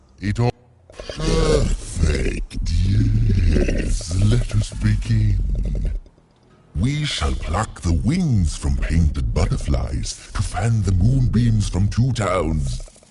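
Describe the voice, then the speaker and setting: A put-on character voice from a man, very deep and low in pitch, at a very slow pace with a pompous, theatrical tone. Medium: video game.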